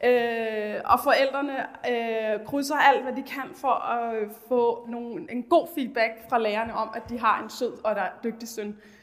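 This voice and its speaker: A woman speaks at a very slow pace in a high pitch, with ordinary pitch variation and big swings in loudness. Background noise is noticeable. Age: 30s. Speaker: teacher. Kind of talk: presentation. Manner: halting.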